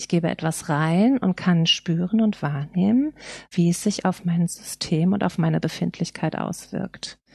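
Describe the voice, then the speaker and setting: Recorded dry and close with no echo against a quiet background, a woman speaks fairly slowly in a fairly low, somewhat breathy voice. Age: 40s. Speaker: photographer and designer in alcohol recovery. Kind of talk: interview about personal recovery.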